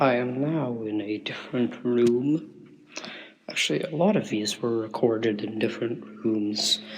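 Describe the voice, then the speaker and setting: A quiet man speaks fairly slowly at a medium pitch with lively intonation, with audible room echo and noticeable background noise. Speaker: musician. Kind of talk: spoken interlude on album. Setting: bathroom with open window. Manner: deliberately quiet; normally loud.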